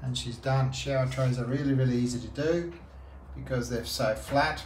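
A man speaks at a moderate pace, with light background noise and audible room echo. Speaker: instructor guiding a worker. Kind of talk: on-the-job instruction. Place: bathroom. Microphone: phone near.

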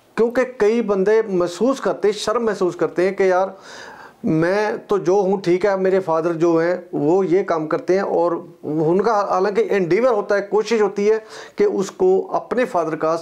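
Over a quiet background, a man speaks at a fairly slow pace in a high pitch with fairly even intonation. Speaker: real estate trainer. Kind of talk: lecture. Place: classroom. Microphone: lapel.

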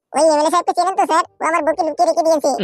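In a squeaky, cartoonish character voice at an extremely high pitch, the speaker rattles along at a very fast pace. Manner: whiny, pleading.

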